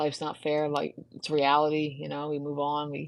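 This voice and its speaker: A woman's very deep, low voice moves along at a moderate pace. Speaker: fitness instructor. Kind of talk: casual live stream chat. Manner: monotone; halting, many fillers.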